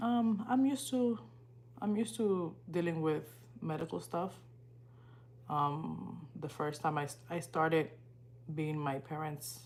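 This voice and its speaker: A woman with a Spanish accent speaks very slowly, with long, frequent pauses, in a very deep, low voice. She sounds somewhat breathy, and her pitch swings very widely. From Dominican Republic. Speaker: livestreamer and student. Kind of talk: casual livestream chat.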